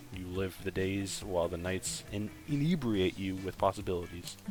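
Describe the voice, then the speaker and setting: A man talks with a very deep, low pitch. Music runs behind him. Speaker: game narrator, reading the story aloud. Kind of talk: casual, joking among friends. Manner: monotone.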